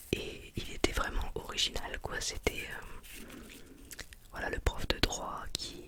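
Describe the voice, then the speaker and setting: Very slow whispering from a woman, noticeable background noise underneath. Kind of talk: ASMR whispering. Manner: whispered, soft-spoken.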